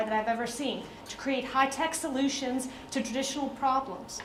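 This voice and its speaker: A woman with an American accent talks at a fairly quick pace in a high pitch with fairly even intonation. Audible room echo and noticeable background noise surround her. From US South, Atlanta, Georgia. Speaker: diplomat. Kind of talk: speech.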